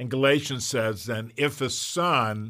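A man with a bright, sharp tone speaks very slowly in a very clean recording against a silent background. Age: 60s. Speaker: podcast host and pastor. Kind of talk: casual interview chat.

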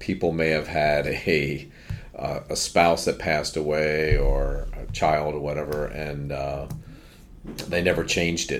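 A man speaks in a very deep, low voice at a fairly slow pace. His intonation is flat and monotone, with noticeable background noise behind him. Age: 50s. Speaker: financial advisor. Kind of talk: casual chat. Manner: halting, many fillers.

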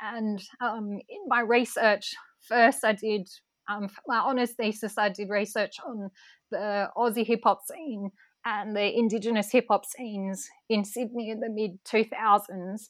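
The speaker talks at a fairly slow pace with fairly even intonation and big swings in loudness. The recording is very clean, with a silent background. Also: woman, fairly high pitch for a woman. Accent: Australian. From Northern Rivers, New South Wales, Australia. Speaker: researcher and hip-hop performer. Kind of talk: interview. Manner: frequent fillers, hesitant.

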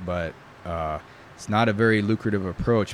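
This man's delivery is fairly quick. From New York. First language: Italian. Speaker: bladesmith. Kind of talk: casual interview. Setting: in person.

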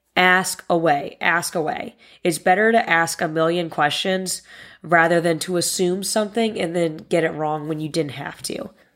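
A woman with an American accent and a normal speaking voice, fairly low in pitch, with ordinary pitch variation at a moderate pace, in a very clean recording with a silent background. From Northern Virginia, US. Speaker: podcast host and sports social media manager. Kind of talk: solo podcast monologue.

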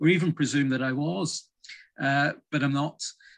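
Against a quiet background, a man with a Northern Irish accent speaks at a fairly slow pace with fairly even intonation. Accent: Northern Irish (Belfast). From Northern Ireland, Belfast. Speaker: heritage project director. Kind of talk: interview. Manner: halting.

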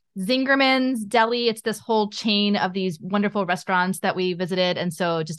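A woman with a normal speaking voice talks at a fairly quick pace and medium pitch, with ordinary pitch variation against a quiet background. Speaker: podcast host. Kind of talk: interview conversation.

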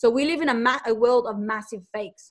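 A woman's high-pitched voice with an Australian accent. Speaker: online entrepreneur and mother. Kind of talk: interview, casual conversation.

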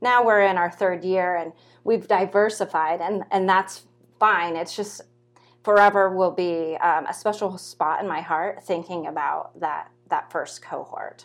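In a very clean recording with a silent background, a woman with an American accent and an ordinary speaking voice talks at a fairly slow pace, her medium-pitched voice using fairly even intonation. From California. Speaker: PhD student researcher. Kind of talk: interview.

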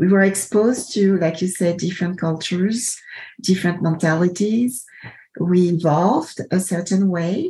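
A woman's somewhat breathy, dark, mellow voice at medium pitch, with ordinary pitch variation, very even loudness and a moderate pace. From Ivory Coast. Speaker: podcast host. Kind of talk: casual interview conversation.

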